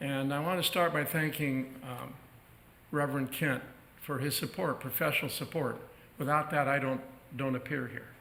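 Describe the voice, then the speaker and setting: A man's fairly high voice with fairly even intonation at a moderate pace, with audible room echo. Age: 70s. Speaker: minister. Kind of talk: sermon. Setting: church.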